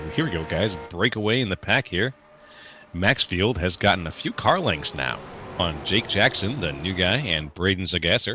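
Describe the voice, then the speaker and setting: A man's very deep, low voice with lively intonation, music playing in the background. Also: moderate pace. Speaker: sim racing commentator. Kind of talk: live commentary. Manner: animated.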